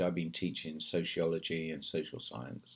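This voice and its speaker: In a British accent, a man speaks at a very deep, low pitch with fairly even intonation. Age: 60s. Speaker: English teacher in China. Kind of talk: casual talk to camera.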